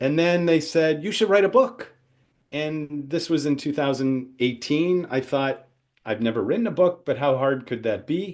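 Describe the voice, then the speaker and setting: A man's plain, everyday voice, fairly high in pitch, in an American accent at a moderate pace over a quiet background. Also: lively intonation. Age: 60s. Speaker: entrepreneurship professor. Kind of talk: webinar lecture.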